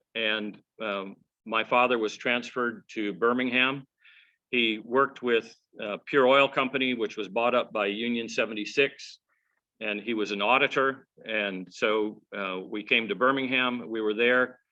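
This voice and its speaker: A man with an American accent speaks at a fairly slow pace in an unremarkable speaking voice. His pitch is medium and his intonation fairly even. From US South (Georgia, Atlanta area; early childhood Minnesota). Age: 60s. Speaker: regional presbyter, minister. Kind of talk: personal talk to congregation. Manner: conversational with many fillers.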